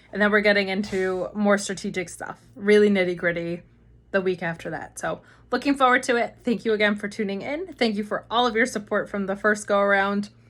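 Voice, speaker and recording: A woman at medium pitch speaks at a fairly quick pace with ordinary pitch variation, in a very clean recording with a silent background. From US East Coast. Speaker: marketing agency founder. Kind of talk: Q&A video talk. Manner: fast.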